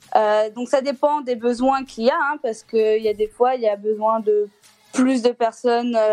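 Fairly slowly, a woman delivers her words. Her voice sits high. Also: dry, close sound with no echo. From Clermont-Ferrand, central France. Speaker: childcare worker. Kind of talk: casual phone-in chat.

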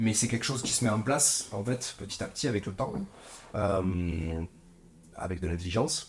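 Somewhat breathy, a man talks at a fairly low pitch. He goes at a fairly slow pace with ordinary pitch variation. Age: 40s. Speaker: winemaker. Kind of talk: interview. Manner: halting.

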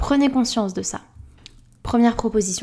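A woman talks at a moderate pace in a dark, mellow tone. The recording is very clean, with a silent background. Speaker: self-acceptance coach and podcast host. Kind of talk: casual solo podcast talk. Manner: chatty, with many fillers.

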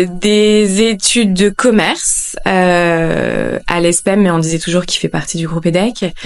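A woman talks at a very slow pace and fairly low pitch. Her intonation is fairly even over noticeable background noise. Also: hardly any pauses. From northern France, Lille. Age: 30s. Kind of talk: casual interview chat. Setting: at her home. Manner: halting, many fillers.

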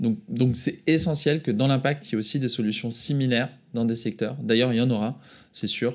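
In a normal speaking voice, a man talks at a fairly quick pace and medium pitch with ordinary pitch variation and very even loudness, on a very clean recording with a silent background. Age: 30s. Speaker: entrepreneur. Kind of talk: casual chat.

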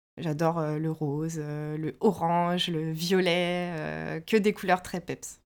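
A woman's fairly low voice, very slow yet with hardly any pauses, in a monotone, flat intonation on a very clean recording with a silent background. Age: 30s. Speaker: knitwear designer. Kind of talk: interview.

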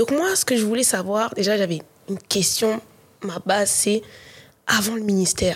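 Noticeable background noise surrounds a woman speaking at medium pitch with ordinary pitch variation. Her moderate pace is broken by long, frequent pauses. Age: 20s. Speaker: content creator. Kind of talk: casual chat.

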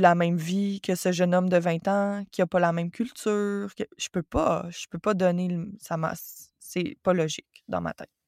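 A woman's medium-pitched voice with a Quebec accent and monotone, flat intonation, in a very clean, dry, close recording with a silent background and no echo. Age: 30s. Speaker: yoga teacher and forestry engineer. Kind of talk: casual interview conversation.

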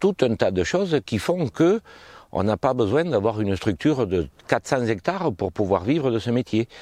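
With a dark, mellow tone and some vocal fry, a man talks at a moderate pace. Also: dry, close sound with no echo. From southwest France, Haute-Garonne near Toulouse. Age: 50s. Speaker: farmer. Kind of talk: interview. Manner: hesitant with frequent fillers.

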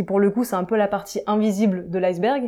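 The speaker is a woman with a medium pitch. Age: 20s. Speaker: software developer. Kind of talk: interview. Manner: hesitant fillers.

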